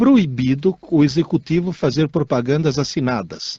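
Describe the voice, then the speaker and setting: A somewhat breathy man with a dark, mellow tone, fairly high pitch and fairly slow pace. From Italy. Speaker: radio co-host, teacher. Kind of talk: casual radio chat.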